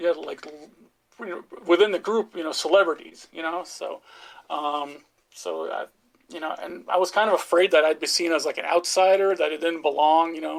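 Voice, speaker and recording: A man with a strong American accent speaks at a moderate pace in a high voice, his loudness swinging widely. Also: fairly even intonation. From Norway. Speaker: football fan. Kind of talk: podcast interview. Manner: halting, many fillers.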